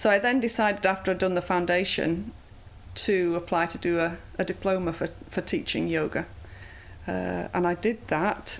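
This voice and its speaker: A woman's fairly low voice in a Yorkshire accent, with vocal fry and ordinary pitch variation. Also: moderate pace. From Bradford, England. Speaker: yoga instructor. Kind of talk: interview answer.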